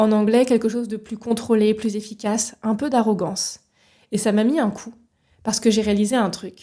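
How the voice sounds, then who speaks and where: At a moderate pace, a woman speaks with a dark, mellow tone, a fairly high pitch, somewhat breathy delivery and monotone, flat intonation. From France, Paris region. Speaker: leadership coach, podcast host. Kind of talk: solo podcast monologue. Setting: solo recording with microphone.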